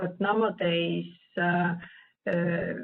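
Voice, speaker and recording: This woman has a fairly low pitch. She speaks at a very slow pace. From Nordic country. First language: not English. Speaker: statistician presenter. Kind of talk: Q&A answer at virtual meeting. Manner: halting, many hesitations.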